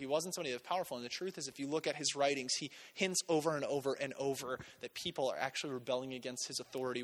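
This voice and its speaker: A man at a very fast pace. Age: 20s. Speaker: pastor. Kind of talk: sermon. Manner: animated.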